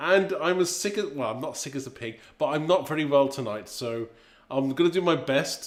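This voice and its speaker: A man with an English accent speaks with lively intonation. The recording is very clean, with a silent background. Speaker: craft demonstrator. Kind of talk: live stream chat. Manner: casual, hesitant.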